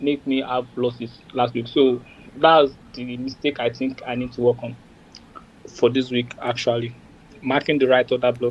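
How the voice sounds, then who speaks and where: At a moderate pace with long, frequent pauses, a man speaks in a medium pitch with monotone, flat intonation. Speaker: trader. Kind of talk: casual chat. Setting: video call.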